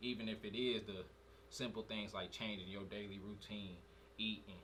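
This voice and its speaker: A man with a fairly low pitch speaks at a moderate pace, with noticeable background noise and audible room echo. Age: 20s. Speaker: podcast co-host. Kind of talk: casual chat.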